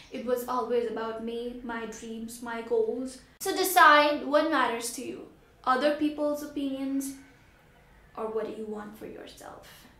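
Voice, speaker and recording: A woman's high-pitched voice with a bright, sharp tone, fairly slow pace and ordinary pitch variation, in audible room echo. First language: Hindi. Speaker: vlogger. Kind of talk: motivational vlog. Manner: animated.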